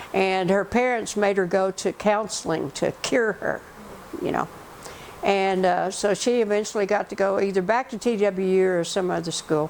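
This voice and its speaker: Noticeable background noise sits under a woman whose intonation stays fairly even. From Arkansas (Rogers), earlier West Texas. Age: 70s. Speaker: oral history interviewee. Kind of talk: oral history interview. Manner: halting, many fillers.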